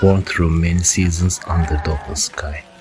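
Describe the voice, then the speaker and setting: A man with a very deep, low voice speaks calmly at a moderate pace over noticeable background noise. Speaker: podcast host, city planner. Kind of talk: scripted narration. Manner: calm, measured storytelling.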